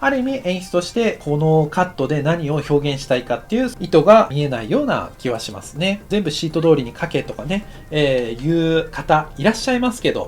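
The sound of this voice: At a fairly quick pace, a man speaks with a fairly high pitch and big pitch swings.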